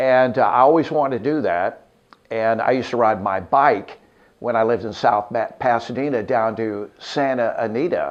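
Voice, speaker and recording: A man with a normal speaking voice and an American accent talks at a moderate pace and medium pitch, with ordinary pitch variation. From Los Angeles, California, later Arkansas from junior high. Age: 60s. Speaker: radio morning show host. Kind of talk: interview-style personal storytelling. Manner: relaxed, many filler 'uh's.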